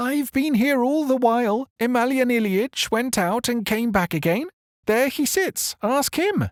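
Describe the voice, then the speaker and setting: A put-on character voice with a fairly high pitch moves at a moderate pace. The recording is very clean, with a silent background. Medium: read story. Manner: indignant, chatty.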